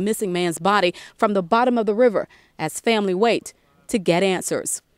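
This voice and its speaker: A plain, everyday voice from a woman, fairly high in pitch, at a fairly quick pace with ordinary pitch variation, in a dry, close sound with no echo. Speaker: TV news reporter. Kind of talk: TV news reporter package, broadcast delivery.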